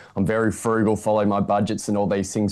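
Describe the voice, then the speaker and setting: A man talks with an Australian accent. His fairly low voice has a monotone, flat intonation. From regional Victoria, Australia. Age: 20s. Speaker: property investor. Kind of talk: interview.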